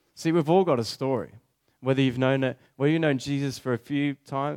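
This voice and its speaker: A man with a plain, everyday voice, medium pitch, and fairly even intonation at a fairly quick pace, on a very clean recording with a silent background. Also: dry, close sound with no echo. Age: 20s. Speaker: preacher. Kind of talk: sermon.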